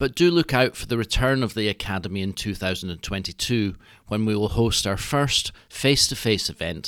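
A man with an unremarkable speaking voice, ordinary pitch variation and a moderate pace, on a very clean recording with a silent background. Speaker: podcast host. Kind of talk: scripted introduction.

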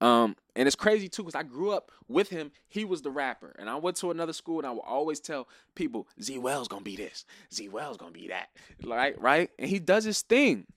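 A man with an American accent and a fairly high voice swings very widely in pitch, recorded dry and close with no echo and a silent background. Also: fairly quick pace, big swings in loudness. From Maryland, US. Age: 20s. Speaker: music artist. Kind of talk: casual interview.

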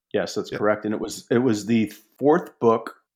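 Against a quiet background, a man speaks in a plain, everyday voice at a fairly low pitch, with fairly even intonation. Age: 50s. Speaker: author and journalist. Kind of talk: casual interview.

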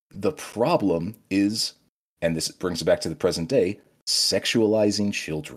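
With a plain, everyday voice, a man with an American accent speaks at a fairly low pitch and a fairly slow pace, his intonation lively. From US Midwest. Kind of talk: call-in conversation.

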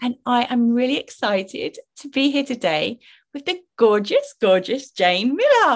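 A high-pitched woman at a moderate pace with very wide pitch swings, dry and close with no echo. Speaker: podcast host and relationship coach. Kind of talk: casual chat.

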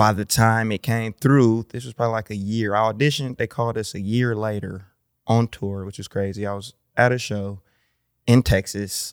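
A man talks in a plain, everyday voice at a moderate pace, with fairly low pitch and fairly even intonation, in a very clean recording with a silent background and a dry, close sound with no echo. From Milwaukee, Wisconsin. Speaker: rapper. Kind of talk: casual chat. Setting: studio.

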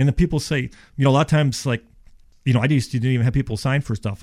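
On a very clean recording with a silent background, a man with an American accent talks very fast with ordinary pitch variation. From Florida. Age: 50s. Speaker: insulation contractor. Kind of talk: radio interview.

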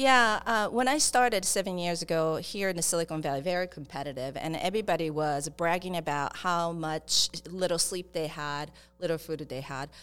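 A woman's fairly low voice with a Japanese accent, fairly quick pace and ordinary pitch variation, on a very clean recording with a silent background. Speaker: startup accelerator founder. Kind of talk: interview. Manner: halting.

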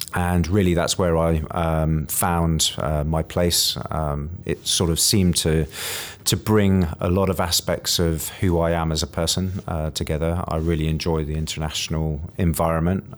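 A man with a British accent, very deep and low in pitch, in a monotone, flat intonation. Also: moderate pace. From rural UK. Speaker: career coach. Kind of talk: interview. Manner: hesitant, many fillers.

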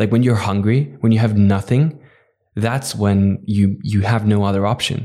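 A man with a Dutch accent talks at a moderate pace and a fairly low pitch, his loudness very even, on a very clean recording with a silent background. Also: ordinary pitch variation. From Netherlands. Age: 20s. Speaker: entrepreneur. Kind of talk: interview.

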